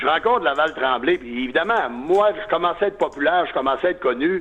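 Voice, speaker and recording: A man with a high pitch talks moderately fast, his intonation lively. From Quebec, Lac-Saint-Jean (Alma). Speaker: sports radio broadcaster. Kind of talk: interview.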